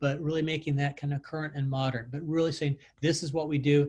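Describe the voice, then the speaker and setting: A man's somewhat breathy, fairly high voice at a fairly quick pace, monotone with flat intonation. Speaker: transit technical assistance presenter. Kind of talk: webinar presentation. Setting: video call. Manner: fast.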